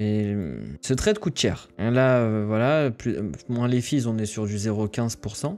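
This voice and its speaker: A man speaks at a moderate pace in a medium pitch, with a dark, mellow tone and ordinary pitch variation. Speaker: crypto trader streamer. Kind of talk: live trading commentary. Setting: livestream. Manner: hesitant, repetitive fillers.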